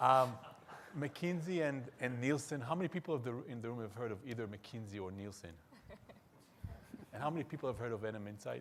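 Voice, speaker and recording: The speaker talks at a fairly quick pace in an Israeli accent, with lively intonation. Long pauses come often. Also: man, medium pitch for a man. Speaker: market research executive, panelist. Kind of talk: panel discussion.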